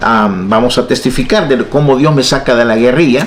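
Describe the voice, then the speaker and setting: Medium-pitched male speech at a middling speed, amid clearly audible background noise and room echo. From El Salvador, San Salvador. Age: 60s. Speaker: pastor and evangelist, former guerrilla. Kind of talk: testimony.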